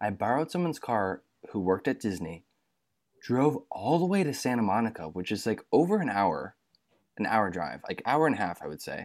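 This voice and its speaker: A man with an American accent speaks at a fairly quick pace and medium pitch, with very wide pitch swings, on a very clean recording with a silent background. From Michigan. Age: 20s. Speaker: actor and comedian. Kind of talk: casual chat.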